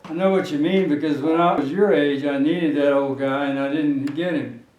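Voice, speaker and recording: Fairly quick, fairly even American-accented speech over noticeable background noise. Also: man, fairly high pitch for a man. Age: 80s+. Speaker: retired veterinarian and show host. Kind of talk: casual conversation.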